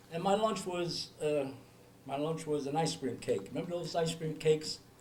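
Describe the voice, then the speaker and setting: A man with an American accent speaks at a moderate pace in a fairly high pitch, with ordinary pitch variation and audible room echo. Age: 70s. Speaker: family member sharing memories. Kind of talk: family reminiscing.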